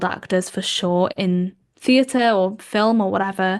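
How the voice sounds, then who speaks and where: Against a quiet background, a woman speaks at a medium pitch. Her intonation stays fairly even. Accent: Welsh. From Wales. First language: Welsh. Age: 20s. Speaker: podcast host and journalist. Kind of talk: casual chat. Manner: halting, many fillers.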